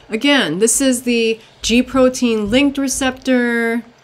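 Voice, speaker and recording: A woman's fairly high-pitched voice. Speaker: teacher. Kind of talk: lecture. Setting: screen recording.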